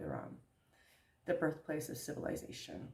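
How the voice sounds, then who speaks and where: This voice has an American accent and a dark, mellow tone with vocal fry. The pace is moderate. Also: woman. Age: 60s. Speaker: vlogger and theater director. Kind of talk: casual vlog.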